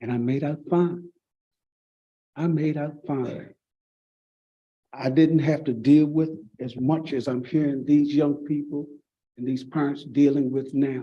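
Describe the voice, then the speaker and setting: A man with a Virginia accent speaks at a fairly slow pace with long, frequent pauses. His fairly high voice has a dark, mellow tone and monotone, flat intonation. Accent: Southern US (Virginia). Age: 60s. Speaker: pastor. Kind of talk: public comment at school board meeting. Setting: public meeting.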